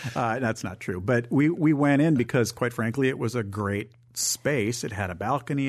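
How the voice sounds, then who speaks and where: A man of medium pitch with an American accent and an ordinary speaking voice, hardly any pauses, against a quiet background. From northern Michigan. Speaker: theater executive director. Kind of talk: radio interview.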